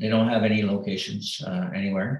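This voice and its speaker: This is a man's voice. Its pitch rises and falls in an ordinary way. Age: 50s. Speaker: retired navy officer and aspiring business owner. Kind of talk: advice call. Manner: hesitant, many fillers.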